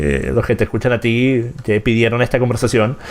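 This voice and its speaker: Noticeable background noise sits behind a man's medium-pitched voice. He talks at a fairly quick pace. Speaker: political commentator and show host. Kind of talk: live-streamed interview. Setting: live stream with chat.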